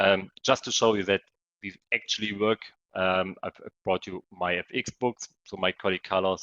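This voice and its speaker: A man's very deep, low voice at a moderate pace, monotone and flat, with big swings in loudness. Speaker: trading coach. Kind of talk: webinar presentation.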